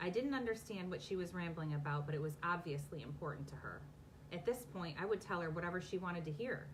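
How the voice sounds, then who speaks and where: A woman talks very fast at a fairly low pitch with ordinary pitch variation. Noticeable background noise and audible room echo fill the recording. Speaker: romance author. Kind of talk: casual chat; reading aloud. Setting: live video from home basement.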